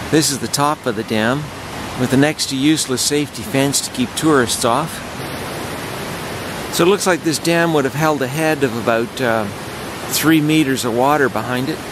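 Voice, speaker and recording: The speech moves at a moderate pace with long, frequent pauses. The sound is dry with no echo, but background noise is noticeable. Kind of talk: casual exploration commentary. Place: waterside. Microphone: phone near.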